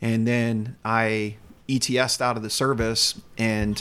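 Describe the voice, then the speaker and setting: A man with a slight Southern US accent speaks at a medium pitch. His intonation is monotone and flat. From US South, North Carolina. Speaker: youth ministry director. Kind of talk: interview.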